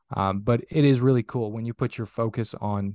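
A man with an Upper Midwest accent and fairly low pitch, in a dry, close sound with no echo on a very clean recording with a silent background. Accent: Upper Midwest American. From northern Minnesota. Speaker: business coach and podcast host. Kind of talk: interview.

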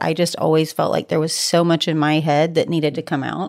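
A plain, everyday voice with an American accent on a very clean recording with a silent background. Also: woman. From Texas, small town near Cold Spring. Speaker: women's workspace founder. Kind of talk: casual chat.

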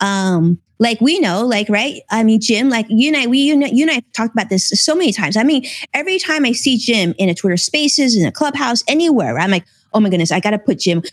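A somewhat breathy woman speaks very fast with an American accent, very wide pitch swings and very even loudness. The sound is dry and close, with no echo. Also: fairly high pitch for a woman. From US West Coast, Los Angeles. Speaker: financial TV host and former financial advisor. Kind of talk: casual interview. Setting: live stream.

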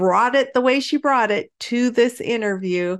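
A woman with an ordinary speaking voice, moderate pace and ordinary pitch variation, against a quiet background. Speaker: podcast host. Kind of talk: interview.

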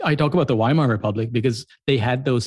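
Somewhat breathy and medium in pitch, a man with an American accent talks at a fairly quick pace, the sound dry and close with no echo. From US Midwest, Columbus, Ohio. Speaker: writer and YouTuber. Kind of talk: interview conversation.

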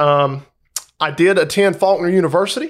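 A man with a Southern US accent talks at a moderate pace in a high pitch with ordinary pitch variation. The recording is very clean, with a silent background. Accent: Southern American. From US South, Georgia. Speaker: school sports coach. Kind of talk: casual chat.

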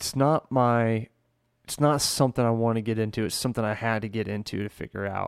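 A man with a normal speaking voice talks at a fairly quick pace and medium pitch, with fairly even intonation, in a very clean, dry, close recording with a silent background and no echo. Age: 20s. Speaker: singer and recording artist. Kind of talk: casual chat.

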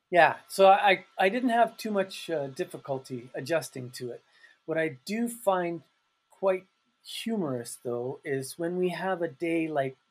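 Lively intonation and a fairly slow pace mark this voice with a Canadian accent. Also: man. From Canada, Calgary. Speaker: English teacher and self-published author. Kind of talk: casual interview chat. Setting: remote call from his office.

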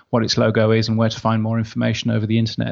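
A man speaks in a medium pitch with an English accent. The background is quiet. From UK. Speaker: radio and podcast industry expert. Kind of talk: interview.

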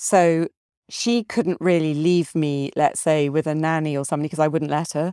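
A woman speaks at a moderate pace with a very deep, low pitch and a dark, mellow tone, her intonation fairly even. The sound is dry and close with no echo, on a very clean recording with a silent background. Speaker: composer. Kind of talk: interview.

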